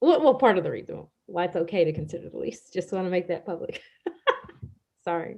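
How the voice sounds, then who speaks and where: Soft-spoken, a woman talks at a moderate pace. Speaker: school board vice president. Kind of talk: board meeting discussion. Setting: video call.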